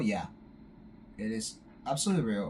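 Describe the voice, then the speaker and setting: A man's somewhat breathy, dark, mellow voice with a non-native accent, very wide pitch swings and a fairly slow pace. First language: not English. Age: 20s. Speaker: YouTuber. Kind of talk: casual vlog talk. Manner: halting, many fillers and restarts.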